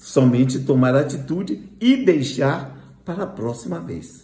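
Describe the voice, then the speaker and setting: A man with a dark, mellow tone and vocal fry swings his pitch very widely. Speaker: spiritist lecturer. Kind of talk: lecture.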